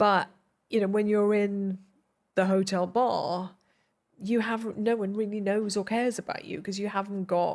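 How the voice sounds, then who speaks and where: In a Welsh accent, a woman speaks at medium pitch and a moderate pace with monotone, flat intonation on a very clean recording with a silent background. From South Wales (Glynneath). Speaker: television producer. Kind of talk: interview conversation.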